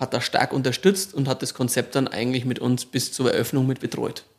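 With a plain, everyday voice, a man speaks at medium pitch and a fairly quick pace. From Marktredwitz area, Upper Franconia. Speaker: supermarket operator. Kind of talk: casual interview.

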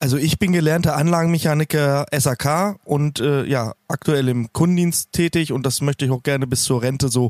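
Recorded with a dry, close sound and no echo, a man speaks in an unremarkable speaking voice at a fairly high pitch, a moderate pace, ordinary pitch variation and very even loudness. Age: 30s. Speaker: heating installer and community founder. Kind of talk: casual interview.

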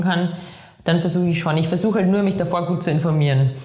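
A woman with a Bavarian accent speaks at a fairly low pitch with ordinary pitch variation. The recording has audible room echo and noticeable background noise. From Bavaria, Chiemgau (Inzell). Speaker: professional trail runner. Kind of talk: interview.

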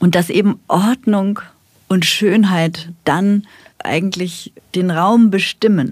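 A woman with a medium pitch talks very slowly, her intonation fairly even. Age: 50s. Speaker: funeral director and pastoral carer. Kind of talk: casual chat. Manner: halting.

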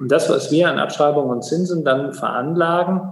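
A man's fairly high-pitched voice, an ordinary speaking voice, shows ordinary pitch variation. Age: 40s. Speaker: water authority executive, former mayor. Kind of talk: interview.

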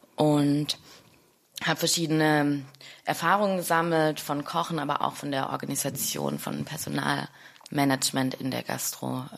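Speaking fairly slowly, the woman uses a very deep, low pitch with fairly even intonation. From Stuttgart, Germany. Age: 30s. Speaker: chef and restaurant owner. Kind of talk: interview.

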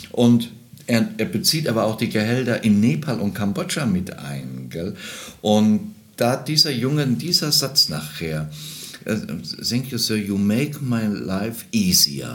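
Against noticeable background noise, a man at medium pitch talks at a very slow pace with very wide pitch swings. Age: 60s. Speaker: travel entrepreneur and charity founder. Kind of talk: casual chat. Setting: trade fair in Berlin.

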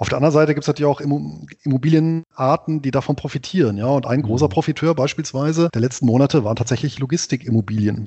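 Speaking at a very fast pace with hardly any pauses, a man has a somewhat breathy, fairly high-pitched voice with ordinary pitch variation. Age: 40s. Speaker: finance blogger and author. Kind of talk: interview conversation.

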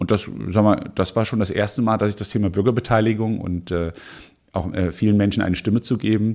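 A fairly low-pitched man at a fairly quick pace with ordinary pitch variation, on a very clean recording with a silent background. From Hesse, Offenbach district near Frankfurt. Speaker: mayoral candidate. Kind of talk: political interview. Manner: hesitant fillers.

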